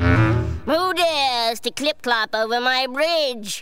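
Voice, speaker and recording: Music plays in the background as a put-on character voice speaks at a very slow pace. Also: female-sounding voice, high pitch for a woman. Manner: roaring.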